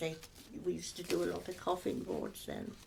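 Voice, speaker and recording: A woman speaks over noticeable background noise. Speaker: former sawmill office worker. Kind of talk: oral history interview answer. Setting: home sitting room.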